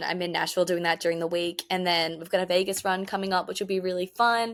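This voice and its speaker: The speaker has a strong Australian accent. The recording is very clean, with a silent background. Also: woman. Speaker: country music singer. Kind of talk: interview. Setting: podcast. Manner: fast.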